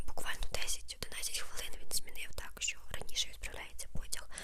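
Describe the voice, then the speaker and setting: With clear background noise behind her, a woman whispers. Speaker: ASMR creator. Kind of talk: ASMR storytime. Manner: whispered; soft-spoken.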